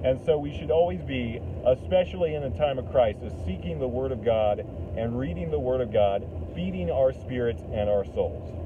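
The speaker is a man talking at a moderate pace. Background noise is noticeable. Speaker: lay preacher. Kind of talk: sermon. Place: car. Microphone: phone near.

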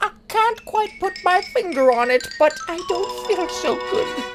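A cartoonish character voice at an extremely high pitch moves at a fairly slow pace over clear background music. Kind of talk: comic overacting. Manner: playful, punning, mock-friendly.

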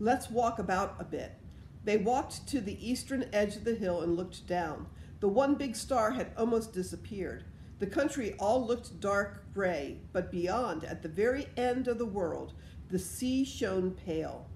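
A woman speaks at a fairly slow pace with vocal fry and ordinary pitch variation. Audible room echo and light background noise surround her. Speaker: storyteller. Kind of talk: reading a story aloud. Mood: calm, gentle storytelling. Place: home room. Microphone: phone near.

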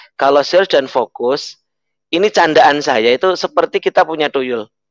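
At a fairly quick pace and with ordinary pitch variation, a man speaks in a dry sound with no echo. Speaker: network marketing leader; guest. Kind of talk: motivational talk and prayer. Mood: upbeat, smiling, persuasive. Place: home room. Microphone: headset.

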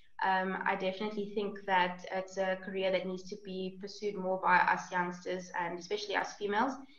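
A woman talks at a fairly quick pace with hardly any pauses and monotone, flat intonation, with audible room echo. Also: medium pitch for a woman. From South Africa. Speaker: winemaking student; panelist. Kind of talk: panel discussion. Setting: video call. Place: home room. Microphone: video call.

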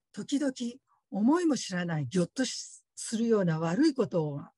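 Here a woman speaks at a moderate pace with very wide pitch swings, her dark, mellow tone somewhat breathy. The sound is dry with no echo, over a quiet background. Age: 50s. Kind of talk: testimony. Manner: polite, formal. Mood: earnest, reflective. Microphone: video call.

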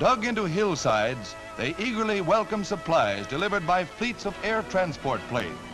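With an American accent, this voice moves at a moderate pace with hardly any pauses and very wide pitch swings over clear music in the background. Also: man, high pitch for a man. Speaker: newsreel narrator. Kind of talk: newsreel narration. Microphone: old recording.

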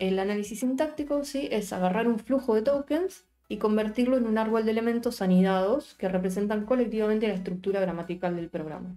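A woman speaks at a fairly quick pace with hardly any pauses and ordinary pitch variation. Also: fairly high pitch for a woman. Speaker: programming teacher; programming teacher streamer. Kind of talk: live-streamed coding class. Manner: casual, chatty with live chat; stumbling, self-correcting. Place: home room.

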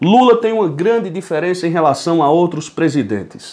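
This man talks at a moderate pace with a high pitch and lively intonation. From Brazil. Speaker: political commentator. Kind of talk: political commentary monologue. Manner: animated. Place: home room. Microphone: phone near.

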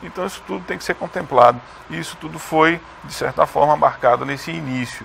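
The speech moves at a fairly quick pace with very wide pitch swings. Light background noise is present. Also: man, big swings in loudness. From Rondônia, Brazil. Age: young. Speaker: science agency head, chemist. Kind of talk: TV interview. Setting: studio. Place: studio. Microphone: lapel.

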